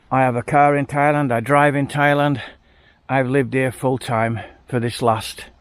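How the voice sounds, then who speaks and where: A man with an English accent talks at a moderate pace on a very clean recording with a silent background. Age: 70s. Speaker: retired expat vlogger. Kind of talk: casual vlog monologue. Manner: animated.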